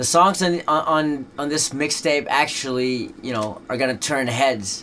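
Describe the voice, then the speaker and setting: Noticeable background noise sits behind a man with a fairly high voice. He speaks at a fairly slow pace with ordinary pitch variation. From Netherlands. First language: Dutch. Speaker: rapper. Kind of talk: interview. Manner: casual, many fillers.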